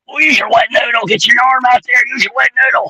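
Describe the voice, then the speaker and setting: Using a hoarse, put-on character voice, a man speaks at a fairly quick pace with an extremely high pitch. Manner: mumbling, muttering.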